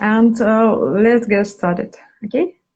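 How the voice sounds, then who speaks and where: This woman's voice is fairly high and somewhat breathy. She speaks at a very slow pace. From Russia. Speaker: dancer and interviewer. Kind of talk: interview. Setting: live video call. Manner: halting.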